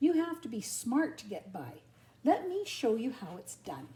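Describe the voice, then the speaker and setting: A woman's put-on character voice, high-pitched with very wide pitch swings, at a moderate pace. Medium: read story. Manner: cocky, streetwise.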